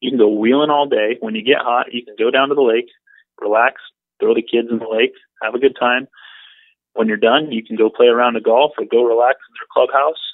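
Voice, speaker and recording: A man with an American accent talks at a fairly quick pace, using an ordinary speaking voice at medium pitch. His intonation is fairly even, but his loudness swings widely. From Northern California. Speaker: off-road event founder. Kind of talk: phone interview. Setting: phone call.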